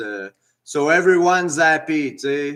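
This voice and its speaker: Speaking very slowly with a Quebec accent, a man keeps his intonation fairly even. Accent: French Canadian accent in English. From French Canada. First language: French. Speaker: commentator sharing opinions. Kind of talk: personal opinion monologue. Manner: halting, many fillers.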